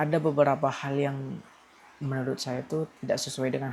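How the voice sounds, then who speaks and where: This man's intonation stays monotone and flat. His pitch is medium. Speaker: vlogger. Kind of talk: casual vlog monologue, personal venting. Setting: at home at night. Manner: hesitant, self-correcting.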